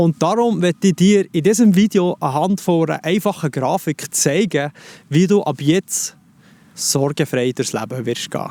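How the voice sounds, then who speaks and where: Dark and mellow in tone yet fairly high in pitch, a man with a Swiss accent speaks at a moderate pace with lively intonation, in a dry, close sound with no echo on a very clean recording with a silent background. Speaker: life coach. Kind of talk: self-help advice talk to camera.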